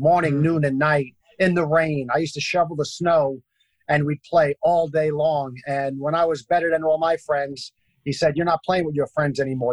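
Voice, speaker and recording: In a New York accent, a man with a fairly high pitch talks at a fairly quick pace. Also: dry, close sound with no echo. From Brooklyn, New York. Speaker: basketball entertainer. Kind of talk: interview storytelling.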